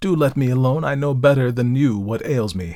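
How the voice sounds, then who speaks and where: A man puts on a character voice with lively intonation. His pitch is medium, and his pace is fairly quick. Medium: read story. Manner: anxious, fretful.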